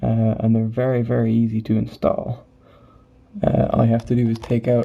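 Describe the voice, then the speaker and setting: The speaker is soft-spoken over noticeable background noise. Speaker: gaming video reviewer. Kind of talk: tutorial. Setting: home at night. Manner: soft-spoken, talking quietly.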